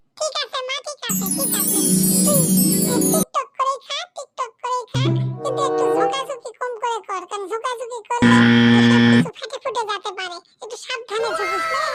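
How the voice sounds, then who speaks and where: A squeaky, cartoonish character voice over faint background music. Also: moderate pace. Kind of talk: comic rural dialect cartoon dub. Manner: grumbling, sarcastic.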